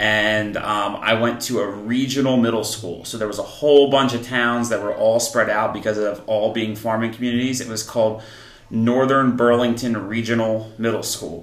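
With audible room echo and noticeable background noise, a man of medium pitch talks at a moderate pace with hardly any pauses and a monotone, flat intonation. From New Jersey, Columbus near Trenton. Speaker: middle school teacher. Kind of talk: casual interview.

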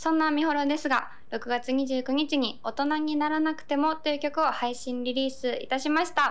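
Speaking at a high pitch and a moderate pace, a woman keeps a fairly even intonation with hardly any pauses. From Japan, Okayama. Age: 20s. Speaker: singer-songwriter. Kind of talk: radio corner monologue.

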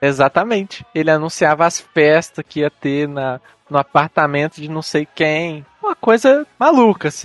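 A man speaks at a fairly slow pace, his pitch fairly high with ordinary variation. The sound is dry and close with no echo, and music plays in the background. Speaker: podcast host. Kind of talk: casual chat.

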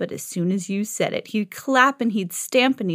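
This is an unforced reading voice. It reads straight through.

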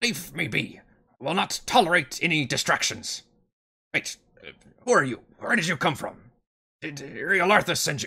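Putting on a character voice, a man growls in a raspy, gruff, high-pitched tone at a moderate pace with long, frequent pauses. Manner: growling, irritated, gruff.

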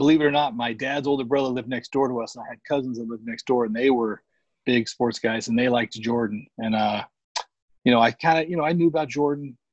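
Speaking at a very fast pace, a man with an American accent keeps a medium pitch and fairly even intonation. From Arizona, Phoenix area. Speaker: sneaker collector and social media personality. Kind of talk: casual chat.

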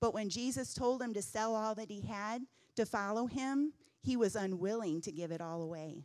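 This woman has an ordinary speaking voice with fairly high pitch. She speaks at a moderate pace with lively intonation. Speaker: church teacher. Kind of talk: sermon. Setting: church. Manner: excitable.

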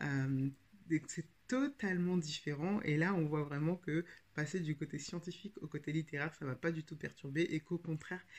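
A somewhat breathy woman's voice, very deep and low. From France, Paris region. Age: 30s. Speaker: podcast host and writing coach. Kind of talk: casual podcast monologue. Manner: hesitant, frequent filler 'euh'.

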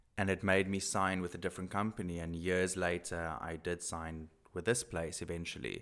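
With a South African accent, a man speaks at a moderate pace in a very deep, low pitch, with fairly even intonation and hardly any pauses. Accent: Afrikaans-accented English. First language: Afrikaans. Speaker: male model.

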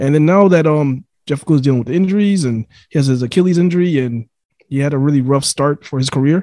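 Talking at a very fast pace, a man with a fairly high pitch, a dark, mellow tone and ordinary pitch variation is heard in a dry, close sound with no echo. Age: 30s. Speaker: sports podcaster. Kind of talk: casual chat. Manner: animated.

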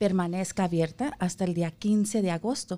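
A woman's normal speaking voice, medium in pitch, at a moderate pace with fairly even intonation. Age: 40s. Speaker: health insurance enrollment representative. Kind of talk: radio interview, informational. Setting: radio studio.

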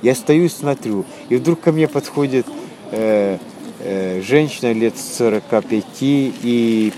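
Very slowly, a man speaks at a medium pitch with ordinary pitch variation. Noticeable background noise can be heard. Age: 70s. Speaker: retired actor, refugee. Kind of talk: interview storytelling. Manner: halting.

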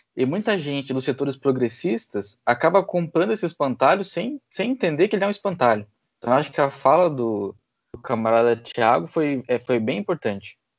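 Over a quiet background, a man with a fairly high voice talks at a moderate pace with very wide pitch swings, the sound dry and close with no echo. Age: 20s. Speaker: podcast host and historian. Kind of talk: casual political discussion.

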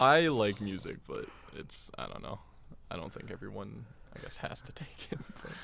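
There is noticeable background noise as a man speaks at a moderate pace, with long, frequent pauses. His loudness swings widely. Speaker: podcast co-host. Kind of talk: casual chat.

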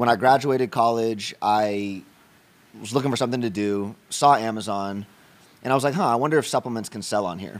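On a very clean recording with a silent background, a man talks fairly quickly in an ordinary speaking voice, medium in pitch with ordinary pitch variation. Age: 30s. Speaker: entrepreneur. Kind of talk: casual chat. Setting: at his home.

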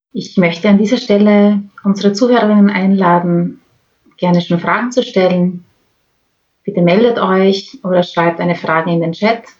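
The voice is somewhat breathy, with fairly even intonation at a moderate pace. Long pauses come often. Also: woman, medium pitch for a woman. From Austria, Graz. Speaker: podcast host, climate activist. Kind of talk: interview.

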